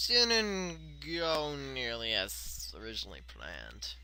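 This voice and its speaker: A man is speaking. He mumbles his words. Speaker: video commentator. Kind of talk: casual video commentary. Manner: fast; mumbling.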